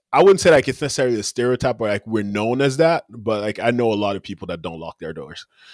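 In a very clean recording with a silent background and a dry, close sound without echo, a man of medium pitch talks at a very fast pace with lively intonation and hardly any pauses. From Cameroon. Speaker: former college football player and podcaster. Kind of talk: casual chat.

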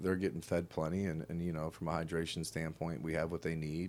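A man with an American accent speaks fairly quickly, and the recording is very clean with a silent background. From US Midwest, Cincinnati, Ohio. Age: 40s. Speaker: basketball strength and conditioning coach. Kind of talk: casual interview. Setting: on-site at university weight room.

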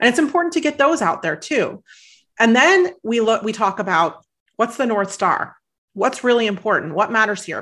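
A woman with an American accent speaks in a fairly high pitch at a moderate pace. Her pitch swings very widely against a quiet background. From US Midwest. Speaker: author and life coach. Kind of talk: interview.

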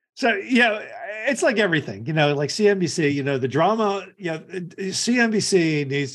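Against a quiet background, a man with an unremarkable speaking voice talks at a moderate pace. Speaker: podcast host. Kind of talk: casual interview chat.

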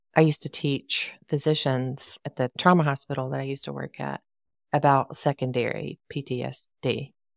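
A woman with a very deep, low pitch, flat, monotone intonation and big swings in loudness, in a dry, close sound with no echo. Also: moderate pace, very clean recording, silent background. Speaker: podcast host and coach. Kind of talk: casual chat.

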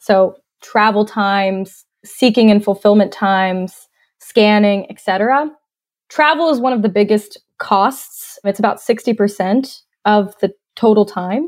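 A woman with an American accent and a plain, everyday voice, medium in pitch, at a fairly slow pace with ordinary pitch variation. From US South, North Georgia. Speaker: tech startup CEO, industrial engineer. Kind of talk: interview.

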